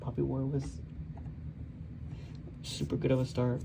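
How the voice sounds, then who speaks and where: A soft-spoken man over noticeable background noise. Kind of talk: casual book review talk to camera.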